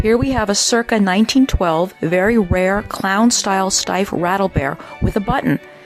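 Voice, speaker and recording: A woman's medium-pitched, enthusiastic voice at a moderate pace, with ordinary pitch variation and music in the background. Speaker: bear and toy specialist describing collection highlights. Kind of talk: corporate narration, auction preview presentation. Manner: informative, enthusiastic.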